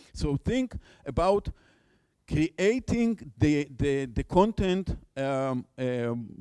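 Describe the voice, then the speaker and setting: Very slowly, a man speaks at a fairly high pitch, his dark, mellow tone moving through very wide pitch swings. The sound is dry and close, with no echo. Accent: non-native. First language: Hebrew. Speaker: conference speaker, education researcher. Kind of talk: conference talk. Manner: halting, many fillers and repetitions.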